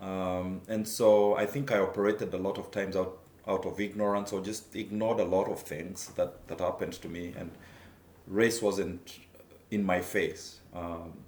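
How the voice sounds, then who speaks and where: Audible room echo surrounds a man with a Kenyan accent whose fairly low pitch and fairly even intonation come at a moderate pace. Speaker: taekwondo instructor and former reporter. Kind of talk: personal testimony. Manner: halting, many fillers.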